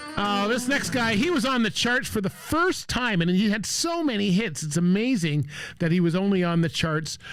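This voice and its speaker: Music plays in the background as a man speaks at a moderate pace and high pitch. His pitch swings very widely while his loudness stays very even. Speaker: radio show host / DJ. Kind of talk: radio show host aircheck, introducing songs. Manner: upbeat, enthusiastic.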